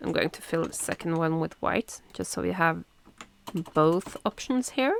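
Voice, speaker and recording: Dry and close with no echo, a woman's voice is heard. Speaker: tech presenter. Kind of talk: tutorial. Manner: animated.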